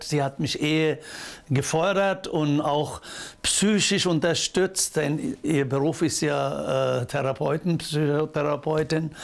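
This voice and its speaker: A very slow delivery in a Turkish accent, with fairly even intonation. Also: man. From Turkey. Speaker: social worker. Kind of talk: interview answer. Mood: warm, proud. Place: home room. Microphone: lapel.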